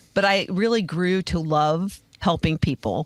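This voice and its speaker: A woman with a fairly low pitch and ordinary pitch variation has a plain, everyday voice. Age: 60s. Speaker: podcast host and life coach. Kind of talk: interview.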